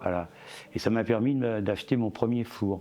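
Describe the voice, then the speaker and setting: The pitch rises and falls in an ordinary way. Music can be heard behind the voice. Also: man. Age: 70s. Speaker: ceramic artist. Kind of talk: interview. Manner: halting, many hesitations.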